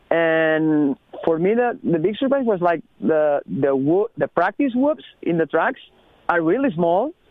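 A man with a high pitch and a Spanish accent speaks at a fairly slow pace, his pitch swinging very widely. His loudness stays very even. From Spain, Barcelona. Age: 30s. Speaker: professional motocross racer. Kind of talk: casual interview. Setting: phone call. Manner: halting, non-native phrasing.

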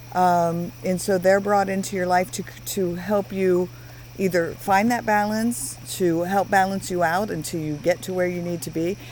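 A woman with an unremarkable speaking voice, fairly low in pitch, talks at a moderate pace with ordinary pitch variation. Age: 50s. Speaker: podcast co-host, former mental health worker. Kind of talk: casual chat. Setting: outdoors by a fire.

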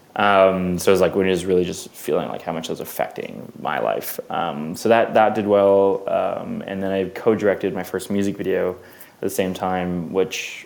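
Noticeable background noise sits behind this recording. A man with a Canadian accent speaks at a moderate pace. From Canada, Vancouver. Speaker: filmmaker, music video director. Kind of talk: casual interview chat.

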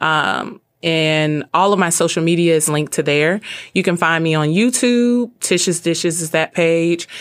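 A woman with an unremarkable speaking voice talks at a moderate pace, her fairly low pitch moving with ordinary variation over a very clean recording with a silent background. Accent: American. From US South, Birmingham, Alabama. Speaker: chef and mental health advocate. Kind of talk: radio interview.

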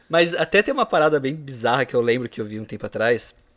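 On a very clean recording with a silent background, a man with an ordinary speaking voice and medium pitch uses lively intonation. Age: 30s. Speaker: podcast host. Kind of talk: casual chat.

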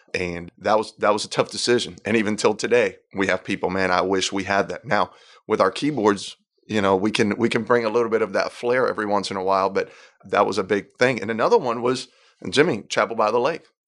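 A man with a slight Puerto Rican accent, fairly low in pitch, talking very fast with ordinary pitch variation against a quiet background. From Puerto Rico. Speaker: worship pastor. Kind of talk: casual interview chat.

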